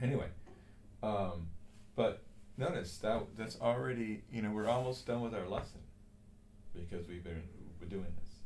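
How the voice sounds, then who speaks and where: Amid audible room echo, a man with a fairly low pitch and ordinary pitch variation speaks with long, frequent pauses. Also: moderate pace. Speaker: cello teacher. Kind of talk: music lesson.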